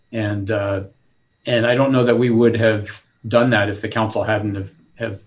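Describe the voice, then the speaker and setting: A man with an American accent speaks at a moderate pace in a fairly low pitch. His voice is somewhat breathy, with monotone, flat intonation. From southern California. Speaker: city manager. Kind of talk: panel discussion.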